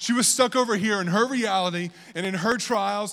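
Speaking at a moderate pace, a man with an American accent has a high-pitched voice. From Virginia. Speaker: pastor. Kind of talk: sermon.

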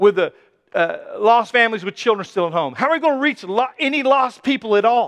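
A man speaks in a raised, projected voice with a bright, sharp, animated tone. His pitch swings very widely, and the sound is dry and close with no echo. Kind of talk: sermon. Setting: church. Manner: emphatic, conversational preaching.

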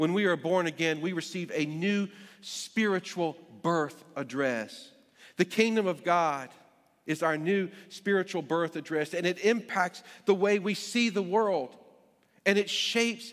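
This man speaks with a North Carolina accent in a high pitch with ordinary pitch variation. His pace is fairly slow, and the recording is very clean with a silent background. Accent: North Carolina Southern. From US South, Greensboro, North Carolina. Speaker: pastor. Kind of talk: sermon. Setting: church. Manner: halting, many fillers.

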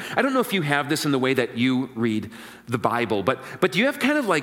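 A man talks over noticeable background noise. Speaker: pastor. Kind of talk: sermon. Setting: church.

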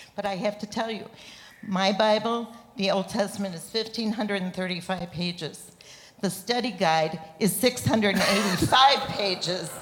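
A woman speaks very slowly at a medium pitch. Her intonation stays fairly even. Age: 70s. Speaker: seminary student. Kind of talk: testimony. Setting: church stage with congregation.

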